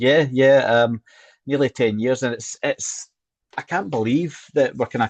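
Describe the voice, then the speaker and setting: A Scottish man with a Scottish accent, fairly even intonation, a moderate pace and a dry, close sound with no echo. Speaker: cancer survivor, charity worker. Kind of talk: interview.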